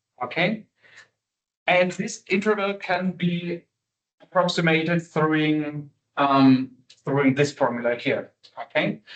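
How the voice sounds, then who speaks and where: Speaking very slowly with long, frequent pauses, a man uses a non-native accent at a fairly high pitch. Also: ordinary pitch variation. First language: not English. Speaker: university lecturer. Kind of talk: lecture. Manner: halting, many fillers.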